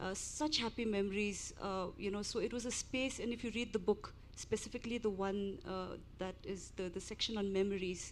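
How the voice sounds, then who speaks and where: A woman with a fairly high pitch speaks at a moderate pace. Her intonation stays fairly even. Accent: Indian. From India, army family; grew up partly in Shillong. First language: Hindi. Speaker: book author and translator. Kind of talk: panel discussion. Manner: hesitant, many fillers.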